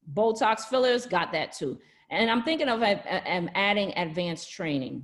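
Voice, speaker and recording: The woman's pitch swings very widely. She keeps a moderate pace. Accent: Brooklyn. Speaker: nurse practitioner and skin care entrepreneur. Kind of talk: webinar business presentation. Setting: online live presentation from home. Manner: casual, chatty.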